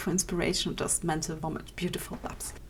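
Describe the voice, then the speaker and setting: A woman with a non-native accent speaks in a fairly low pitch and a flat, monotone delivery. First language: not English. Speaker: digital artist. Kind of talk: podcast Q&A answers. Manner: casual, hesitant.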